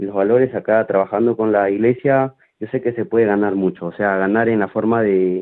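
A fairly low-pitched male voice with fairly even intonation. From Peru. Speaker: football coach. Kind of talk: interview. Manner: halting.

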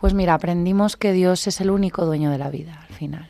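The voice has a dark, mellow tone and ordinary pitch variation at a moderate pace. The recording is very clean with a silent background. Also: woman. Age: 40s. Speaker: nurse, mother. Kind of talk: testimony. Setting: studio.

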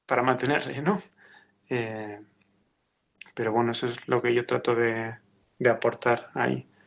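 At a fairly slow pace with long, frequent pauses, a man speaks at a medium pitch with fairly even intonation on a very clean recording with a silent background. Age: 30s. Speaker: ICU nurse. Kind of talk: testimony.

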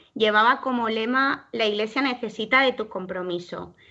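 A bright, sharp voice with lively intonation at a moderate pace, over a quiet background. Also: woman. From Valencia region, Spain (Alzira). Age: young. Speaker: young lay missionary volunteer. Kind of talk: radio interview.

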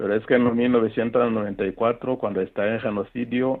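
A man's medium-pitched voice in a flat, monotone intonation. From Rwanda, north of Kigali. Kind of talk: interview testimony.

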